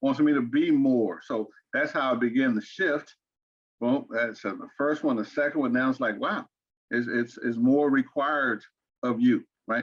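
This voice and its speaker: A man speaks at a fairly slow pace with an Arkansas accent. His pitch is medium, with ordinary pitch variation. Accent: Southern US (Arkansas). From Arkansas, US South. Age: 60s. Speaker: interview guest, father and grandfather. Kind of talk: interview. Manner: halting, many repeated words.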